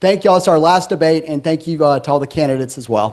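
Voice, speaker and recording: A man speaks with an Alabama accent at a high pitch, using ordinary pitch variation. The background is quiet. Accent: US Southern (Alabama). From Huntsville, Alabama, US South. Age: 30s. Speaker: city council candidate. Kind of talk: campaign closing statement at candidate forum. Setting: auditorium with live audience.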